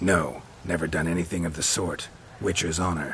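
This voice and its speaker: A man's cartoonish character voice, very deep and low and raspy, at a moderate pace with clear background noise. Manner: terse, deadpan.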